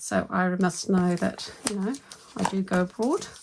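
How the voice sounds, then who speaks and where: A woman speaks, and noticeable background noise can be heard along with her. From New Zealand. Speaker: budgeting vlogger. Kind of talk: casual vlog with haul and cash stuffing. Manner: animated.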